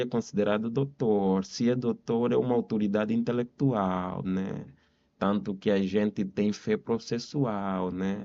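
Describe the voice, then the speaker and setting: A man with an Angolan accent, fairly low-pitched, with a dark, mellow tone, fairly even intonation and a fairly slow pace against a quiet background. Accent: Angolan Portuguese accent, still noticeable. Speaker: lawyer. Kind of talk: podcast interview.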